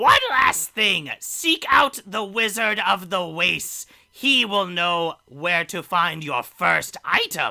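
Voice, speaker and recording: A man performs a put-on character voice, high in pitch, raised and projected. He speaks very slowly with hardly any pauses. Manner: cryptic, ominous.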